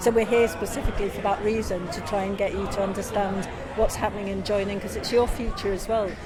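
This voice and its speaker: Speaking quickly in a flat monotone, a woman is heard with audible room echo and noticeable background noise. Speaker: pension campaigner. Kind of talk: interview.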